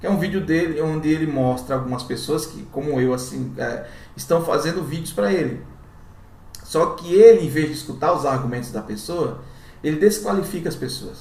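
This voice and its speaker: In a room with audible echo and noticeable background noise, a man speaks at a moderate pace with a fairly high pitch and ordinary pitch variation. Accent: northeastern Brazilian. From Brazilian Northeast. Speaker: YouTuber. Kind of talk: commentary. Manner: casual.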